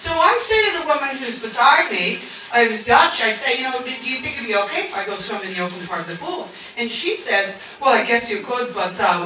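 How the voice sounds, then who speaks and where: Noticeable background noise and audible room echo surround a woman whose fairly high, animated voice moves at a fairly quick pace with lively intonation. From Canada. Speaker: stand-up comedian. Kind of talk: stand-up.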